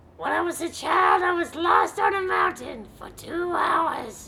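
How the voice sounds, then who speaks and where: Shouting in a put-on character voice, a woman goes extremely high in pitch and keeps a fairly slow pace. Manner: goofy.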